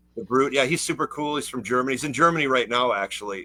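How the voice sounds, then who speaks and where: Speaking with an American accent and ordinary pitch variation, the voice comes through noticeable background noise. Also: man. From Minnesota. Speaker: film producer and writer. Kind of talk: casual chat.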